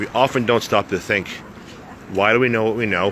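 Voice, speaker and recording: A man with an American accent speaks at a fairly low pitch over noticeable background noise. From United States. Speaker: travel vlogger and motivational speaker. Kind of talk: casual vlog monologue. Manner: casual, hesitant with fillers.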